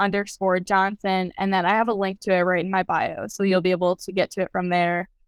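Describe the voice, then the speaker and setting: Someone with an American accent speaks at a fairly quick pace, recorded very cleanly against a silent background with a dry, close sound and no echo. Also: woman. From US Midwest (Lafayette, Indiana; later New York). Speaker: think tank staffer, alumna. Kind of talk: interview. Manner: animated.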